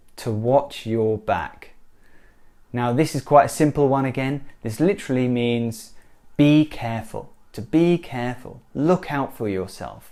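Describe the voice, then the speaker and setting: With a British accent and a dark, mellow tone, a man at medium pitch speaks fairly slowly with ordinary pitch variation. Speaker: English teacher. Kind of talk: language lesson to camera.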